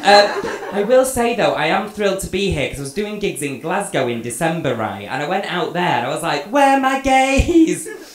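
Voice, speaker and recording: Speaking at a moderate pace with hardly any pauses, a man with a high pitch swings his voice very widely, heard with audible room echo and light background noise. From Manchester, England. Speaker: stand-up comedian. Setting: stage with live audience. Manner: cheeky, camp and flamboyant, laughing at his own punchlines; chatty and rambling, peppered with ums and swearing. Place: stage.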